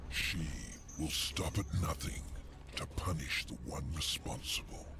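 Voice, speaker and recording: A man performs a put-on character voice. Loud background noise runs underneath. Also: fairly slow pace. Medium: video game. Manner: sly, mocking.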